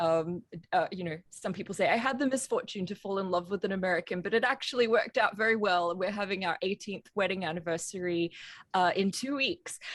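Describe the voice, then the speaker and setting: A woman with an Australian accent, medium pitch, ordinary pitch variation and a fairly quick pace. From Australia, Brisbane. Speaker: composer. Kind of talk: interview.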